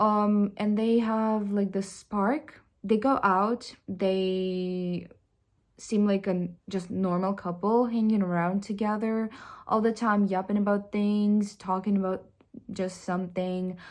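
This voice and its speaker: A woman with a non-native accent speaks very slowly at a medium pitch in a monotone, flat intonation, in a very clean recording with a silent background. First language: not English. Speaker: vlogger. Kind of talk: personal confession vlog. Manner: halting, with many fillers and restarts.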